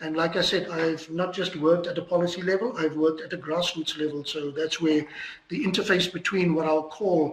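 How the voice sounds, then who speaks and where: A man's high voice at a fairly quick pace, fairly even in intonation, over noticeable background noise. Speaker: lecturer. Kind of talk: lecture.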